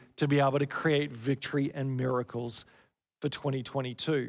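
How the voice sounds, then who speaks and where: A man speaks at a moderate pace. He has an Australian accent. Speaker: pastor. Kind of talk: sermon. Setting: church.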